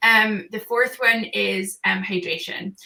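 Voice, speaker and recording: Noticeable background noise sits under this recording. A woman speaks at a medium pitch with fairly even intonation. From northeast England. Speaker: entrepreneur, gut health business founder. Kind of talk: podcast interview. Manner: straight-talking.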